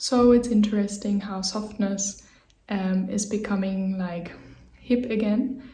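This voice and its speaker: There is audible room echo and noticeable background noise. A woman speaks at a fairly slow pace with a medium pitch. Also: fairly even intonation. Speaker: movement teacher. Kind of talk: tutorial. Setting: home office.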